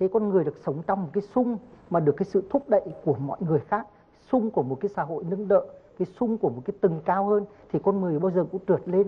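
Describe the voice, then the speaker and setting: A man talks at a very fast pace. His pitch is high. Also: ordinary pitch variation. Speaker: martial arts master; talk show guest. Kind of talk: TV interview. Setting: TV studio with audience. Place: studio. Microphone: lapel.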